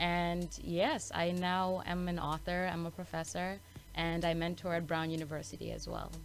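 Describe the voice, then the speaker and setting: Music plays behind a woman with a slight Malawian accent who speaks at a moderate pace in a room with audible echo. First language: Chichewa. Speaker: author and actress. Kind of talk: interview. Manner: careful enunciation.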